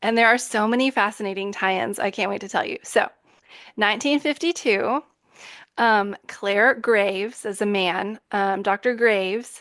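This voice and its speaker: A woman with a Texan accent at medium pitch, moderate pace, and ordinary pitch variation. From Texas. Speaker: podcast host. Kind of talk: casual chat. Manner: animated. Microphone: new microphone.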